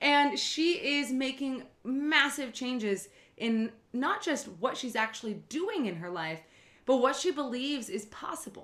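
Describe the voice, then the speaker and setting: Lively intonation marks this woman's high-pitched voice. Her tone is bright and sharp, as well as enthusiastic and warm. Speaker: podcast host and life coach. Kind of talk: podcast intro and interview. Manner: enthusiastic, warm.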